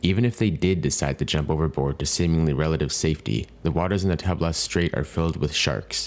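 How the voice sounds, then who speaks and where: A man talks at a fairly quick pace in a very deep, low voice. His pitch variation is ordinary. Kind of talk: documentary narration.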